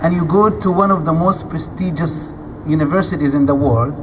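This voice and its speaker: Moderate pace against noticeable background noise. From Gaza, Palestine. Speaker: activist speaker. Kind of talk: speech to audience.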